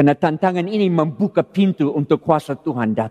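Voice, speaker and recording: A normal speaking voice with lively intonation comes through dry and close with no echo, at a moderate pace. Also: man. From California, US. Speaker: pastor. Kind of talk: sermon. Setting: church.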